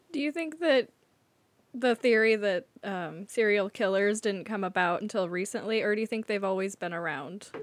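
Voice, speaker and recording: Using an unremarkable speaking voice, a woman with an American accent talks at a moderate pace and medium pitch with lively intonation. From Eastern Washington, US. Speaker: guest co-host. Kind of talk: casual chat.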